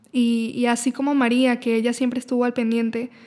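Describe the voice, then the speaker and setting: Her high-pitched voice stays in a monotone, flat intonation as the woman speaks. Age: 20s. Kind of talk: casual chat.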